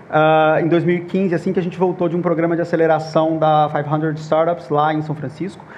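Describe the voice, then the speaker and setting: A man with a Minas Gerais accent talks at a fairly quick pace with hardly any pauses. His intonation is monotone and flat, with audible room echo. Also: fairly high pitch for a man. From Minas Gerais, Brazil. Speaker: panel moderator, startup founder. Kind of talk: conference panel talk.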